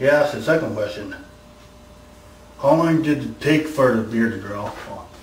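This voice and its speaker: A man talks at a moderate pace with audible room echo. Noticeable background noise is present. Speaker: YouTuber answering viewer questions. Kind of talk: casual Q&A vlog. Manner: halting, many repetitions and false starts.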